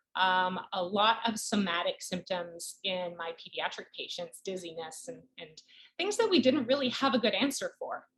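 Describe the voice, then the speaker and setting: Lively intonation marks the speech of a woman with a slight Canadian accent. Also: medium pitch for a woman, moderate pace. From Canada. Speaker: pediatric neurologist. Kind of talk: interview.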